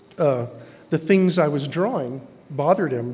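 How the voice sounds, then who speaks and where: A man talks at a moderate pace with an American accent. Room echo can be heard. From Texas. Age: 60s. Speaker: artist. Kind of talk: lecture.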